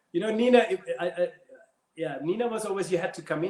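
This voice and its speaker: With a German accent, a man is talking. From Germany. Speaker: ballroom dancer and dance teacher. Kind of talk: casual interview chat. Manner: animated storytelling with repetitions.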